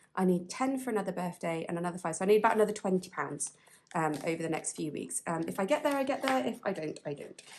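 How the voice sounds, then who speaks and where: Speaking with a British accent, a woman talks at a very fast pace with very wide pitch swings. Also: medium pitch for a woman. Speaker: budgeting vlogger. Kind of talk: casual chat. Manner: halting.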